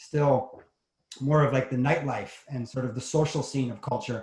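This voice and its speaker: At a moderate pace, a man with a New York accent talks at medium pitch in a flat, monotone way. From New York City, Manhattan. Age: 50s. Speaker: entrepreneur. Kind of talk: interview.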